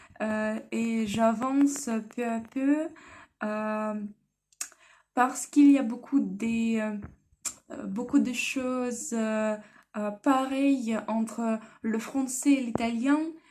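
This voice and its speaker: A woman with a fairly high pitch, very slow pace, long, frequent pauses, fairly even intonation and big swings in loudness. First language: Russian (speaking French). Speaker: language learner vlogger. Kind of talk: personal vlog. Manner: halting, many hesitations.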